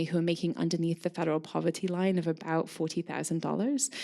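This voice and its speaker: Speaking at a very fast pace, a woman has a fairly low pitch and a dark, mellow tone. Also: very clean recording, silent background. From Scotland, Scottish Borders. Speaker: curator and craft historian. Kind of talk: lecture. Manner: frequent ums and fillers.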